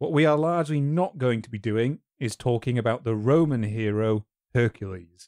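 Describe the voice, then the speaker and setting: An unremarkable speaking voice from a man at a moderate pace with ordinary pitch variation, on a very clean, dry, close recording with no echo and a silent background. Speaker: history YouTuber and podcast host. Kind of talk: casual chat.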